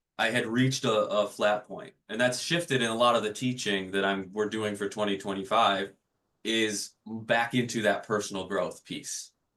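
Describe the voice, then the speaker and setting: Loud and bright, with a sharp tone, a man speaks at a fairly low pitch, a moderate pace and fairly even intonation. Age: 30s. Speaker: leadership trainer at a hospital. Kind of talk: interview conversation.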